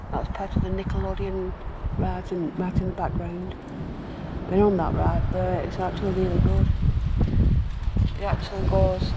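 A man speaks with long, frequent pauses. Loud background noise runs underneath. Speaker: walking vlogger. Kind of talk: casual vlog chat. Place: street. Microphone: phone near.

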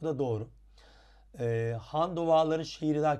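A man with a dark, mellow tone talks at a moderate pace with ordinary pitch variation. The recording is very clean, with a silent background. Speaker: Turkish language teacher. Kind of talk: tutorial. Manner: frequent hesitations with filler sounds.

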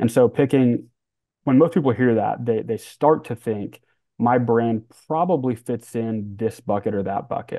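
With an American accent, a man speaks in a plain, everyday voice at a medium pitch and a moderate pace, the sound dry with no echo and the background quiet. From US Midwest (Kansas City). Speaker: head of social media; podcast guest. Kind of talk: casual interview chat. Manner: casual, laid-back. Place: home room.

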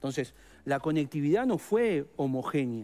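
A man with a Rioplatense accent, a dark, mellow tone and very wide pitch swings. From Uruguay. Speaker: teachers' union leader. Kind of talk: interview. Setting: studio. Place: studio. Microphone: headset.

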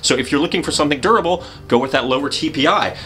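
Faint music plays in the background. Over it, a man is speaking. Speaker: presenter. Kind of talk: tutorial. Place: studio.

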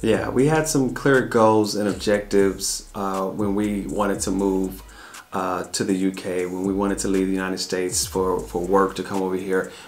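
A man speaks with a Southern US accent in a very deep, low voice. His pace is moderate and his pitch varies in an ordinary way. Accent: Southern American English. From US South. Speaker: family travel vlogger. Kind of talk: casual Q&A chat. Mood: calm, reflective. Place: home room.

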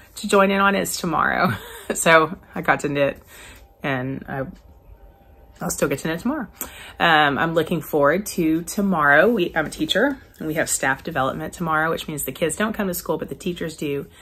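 Ordinary pitch variation at a moderate pace. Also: woman, fairly low pitch for a woman. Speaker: teacher, crafter vlogger. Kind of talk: casual vlog chat. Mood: relaxed, cheerful. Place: home room. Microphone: phone near.

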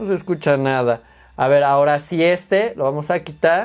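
A man with a Mexican accent and lively intonation over a quiet background. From Mexico. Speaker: teacher and YouTuber reviewing tech; tech reviewer. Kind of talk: unboxing review video. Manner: casual, halting with fillers.

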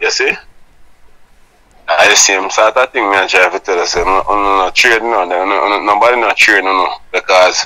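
Over a quiet background, a man with a fairly low pitch and a bright, sharp tone talks at a moderate pace with fairly even intonation. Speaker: vlogger playing an interview character. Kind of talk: phone interview answer. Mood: insistent, argumentative. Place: home room. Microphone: lapel.

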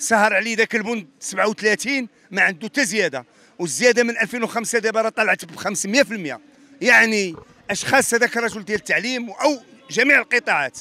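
Using a raised, projected voice, a man speaks at a moderate pace. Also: ordinary pitch variation, dry sound with no echo. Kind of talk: interview answer. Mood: indignant complaint. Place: street. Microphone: handheld.

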